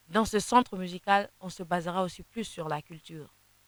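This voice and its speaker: Someone with an eastern Congolese accent talks at a moderate pace with fairly even intonation, captured in a dry, close sound with no echo. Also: woman. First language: Kinande (speaking French). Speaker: gospel singer. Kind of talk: interview. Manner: halting, many repetitions.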